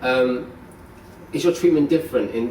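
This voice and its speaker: A man with a British accent and a medium pitch, lively intonation and a fairly quick pace, with audible room echo and noticeable background noise. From United Kingdom. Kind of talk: group interview.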